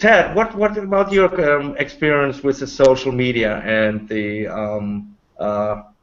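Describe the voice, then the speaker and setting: A man with a German accent speaks with very wide pitch swings. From Germany. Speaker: online panel host. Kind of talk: panel discussion. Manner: halting.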